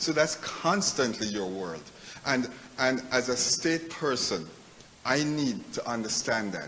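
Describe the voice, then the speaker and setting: With a Jamaican accent and lively intonation, a man at medium pitch speaks over noticeable background noise, with audible room echo. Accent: Jamaican accent, lasting. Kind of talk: conference speech. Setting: live event with audience, hotel. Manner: halting, frequent repetitions.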